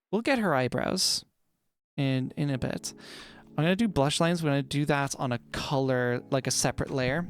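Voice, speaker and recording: Spoken at a moderate pace with an American accent, this very clean recording has a silent background. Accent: American twang with slight Irish bits. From Ireland. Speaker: vtuber streamer. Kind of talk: casual livestream chat while drawing.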